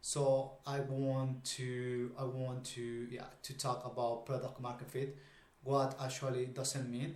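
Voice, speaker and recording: A man at medium pitch with a Spanish accent, somewhat breathy, at a very slow pace in a monotone, flat intonation, with audible room echo. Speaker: YouTuber discussing startups. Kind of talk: casual video commentary. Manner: halting, many fillers.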